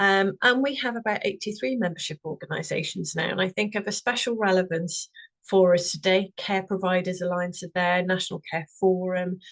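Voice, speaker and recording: A woman with a Welsh accent at a fairly quick pace. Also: medium pitch for a woman, ordinary pitch variation. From Wales. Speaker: representative of a standards organisation. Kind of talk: webinar presentation.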